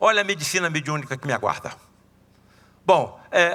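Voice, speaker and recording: This man speaks at a moderate pace in a high voice with a bright, sharp tone and ordinary pitch variation. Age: 70s. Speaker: surgeon and spiritist lecturer. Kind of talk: lecture. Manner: casual, animated.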